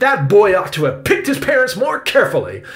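A man in a put-on character voice, with a high pitch, fairly bright tone, very wide pitch swings and fairly quick pace.

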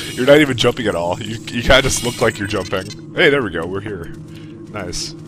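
Over music in the background, a man talks fairly quickly at a fairly low pitch, with lively intonation and big swings in loudness. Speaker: let's play gamer. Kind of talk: casual gaming commentary.

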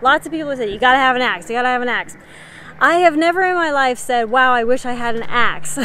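A woman speaks at a fairly quick pace in a high voice, the sound dry with no echo and light noise behind her. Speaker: preparedness channel host. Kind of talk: casual vlog chat. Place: open country. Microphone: phone near.

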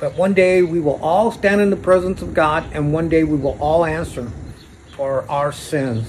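A man's fairly high voice with lively intonation at a moderate pace, over light background noise. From Arizona, Phoenix area. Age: 60s. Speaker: vlogger. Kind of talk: personal video monologue. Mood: serious, aggrieved, religious. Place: street. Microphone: phone near.

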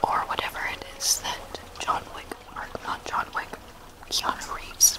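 Against loud background noise, a soft-spoken woman whispers very slowly. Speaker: vlogger. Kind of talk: casual vlog chat. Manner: soft close whisper. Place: home room. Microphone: webcam.

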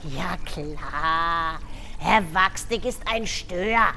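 A woman performs a cartoonish character voice at a very slow pace over clear background noise. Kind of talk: children's puppet theatre. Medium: puppet show. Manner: chirpy, excited, chatty.

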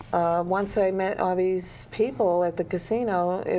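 Over light background noise, a woman with a fairly low pitch and a dark, mellow tone speaks at a very slow pace. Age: 50s. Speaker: author; guest. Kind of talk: interview. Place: studio.

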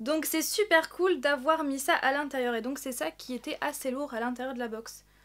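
Speaking at a fairly quick pace, a woman has a high pitch, a fairly bright tone and ordinary pitch variation.

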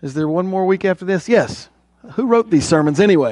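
This man has a high pitch and a dark, mellow tone. The sound is dry with no echo, over a quiet background. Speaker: preacher. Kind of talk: sermon. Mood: friendly, joking. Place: church.

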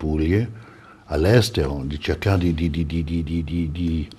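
This man's very deep, low voice has a dark, mellow tone and is somewhat breathy. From Italy (Florence); Italy. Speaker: film festival director; guest. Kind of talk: TV interview. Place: studio. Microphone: lapel.

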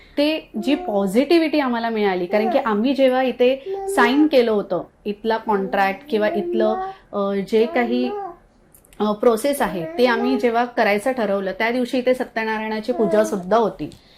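Over noticeable background noise, a woman speaks with a fairly high pitch and lively intonation. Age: 30s. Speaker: fertility clinic patient. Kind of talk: testimonial.

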